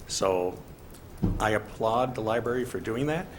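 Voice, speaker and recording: Speaking at a very slow pace, a man has a somewhat breathy voice at a medium pitch. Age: 60s. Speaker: public commenter at library board meeting. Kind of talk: public comment.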